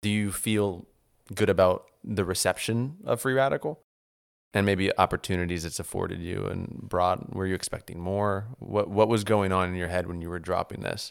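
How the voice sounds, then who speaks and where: A man with an American accent and a normal speaking voice talks at a moderate pace, fairly low in pitch with ordinary pitch variation, on a very clean recording with a silent background. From New Orleans, US South. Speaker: podcast host. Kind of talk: casual interview conversation.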